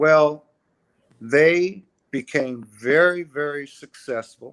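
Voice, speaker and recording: A man talks at a very slow pace. His pitch is fairly high, with ordinary pitch variation. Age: 70s. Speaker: music industry veteran and author. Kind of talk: interview.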